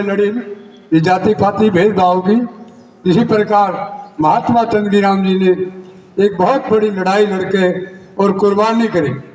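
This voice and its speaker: Noticeable background noise runs under this voice. A man speaks with high pitch and fairly even intonation. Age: 70s. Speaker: community elder speaker. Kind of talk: public speech at a commemoration. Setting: public gathering at an ashram.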